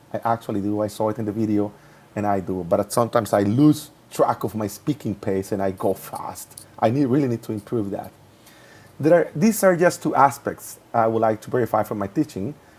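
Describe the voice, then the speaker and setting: With ordinary pitch variation and a medium pitch, this man keeps up a fairly quick pace. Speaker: English teacher in training. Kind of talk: reflective presentation. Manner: fast; halting.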